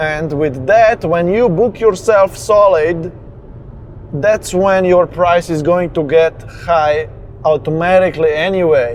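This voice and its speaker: A man's high-pitched voice at a very slow pace, with ordinary pitch variation and noticeable background noise. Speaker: business coach. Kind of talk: motivational talk while driving. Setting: in a car.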